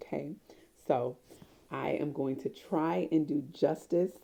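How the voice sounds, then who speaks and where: A woman speaks at a very deep, low pitch, with vocal fry and a dark, mellow tone. Her intonation is lively. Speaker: expressive arts therapy professor. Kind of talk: casual talk to camera.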